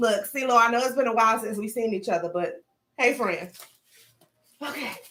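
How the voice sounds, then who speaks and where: A woman with a Southern accent, fairly high-pitched and animated, at a fairly quick pace with ordinary pitch variation. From US South. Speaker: lifestyle vlogger. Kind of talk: live stream unboxing chat. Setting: home livestream.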